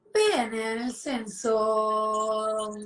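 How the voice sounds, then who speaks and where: This woman speaks at a fairly high pitch. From northern Italy, Lombardy (Sesto San Giovanni, Desio). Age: 20s. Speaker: fashion model. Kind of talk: casual interview. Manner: halting.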